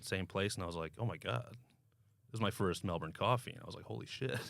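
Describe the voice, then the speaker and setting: A man with an American accent, very fast, with a bright, sharp tone, vocal fry, very wide pitch swings and big swings in loudness. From United States. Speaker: podcast host. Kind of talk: casual chat.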